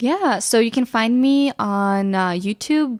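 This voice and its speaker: A woman talks with ordinary pitch variation. The sound is dry and close with no echo, though background noise is noticeable. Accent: Ukrainian. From western Ukraine. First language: Ukrainian. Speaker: photographer and YouTuber. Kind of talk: casual chat. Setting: studio.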